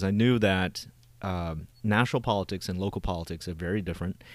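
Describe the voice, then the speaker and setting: With an American accent, a man speaks at a fairly quick pace in a very deep, low pitch with ordinary pitch variation, on a very clean recording with a silent background. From United States, arrived from Vietnam as child refugee. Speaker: Navy veteran touring the country hosting dinners. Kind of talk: casual interview.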